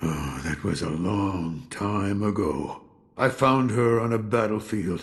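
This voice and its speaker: A man puts on a character voice with lively intonation. His pitch is fairly low and his pace fairly slow. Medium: video game. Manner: slow, reflective, warm.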